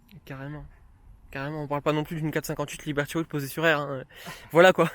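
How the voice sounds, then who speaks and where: Very fast, flat, monotone male speech at a fairly high pitch, with big swings in loudness, on a very clean recording with a silent background. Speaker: car club video co-host. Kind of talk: casual chat.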